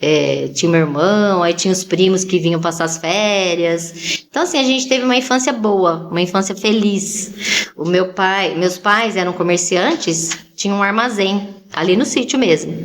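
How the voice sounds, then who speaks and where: Amid noticeable background noise, a woman talks with hardly any pauses. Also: medium pitch for a woman, ordinary pitch variation, moderate pace. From Brazil, Campinas/Valinhos area (São Paulo countryside). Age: 60s. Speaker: podcast guest. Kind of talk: casual interview chat.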